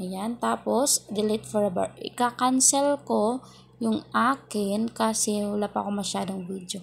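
Speaking at a fairly slow pace, a woman has a medium pitch and ordinary pitch variation. Her voice is somewhat breathy. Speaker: beginner vlogger. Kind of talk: tutorial.

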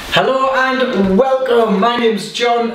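Light background noise and audible room echo surround speech at a very slow pace. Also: man. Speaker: fitness instructor. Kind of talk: workout instruction. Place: home room.

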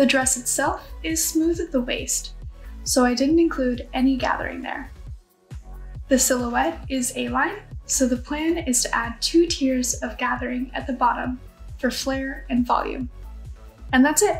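Fairly slow speech with faint music in the background. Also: woman. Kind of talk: casual vlog chat.

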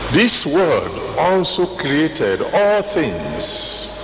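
Noticeable background noise sits under this man's voice. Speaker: preacher, church General Overseer. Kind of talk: sermon preached to a congregation. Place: hall. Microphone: handheld.

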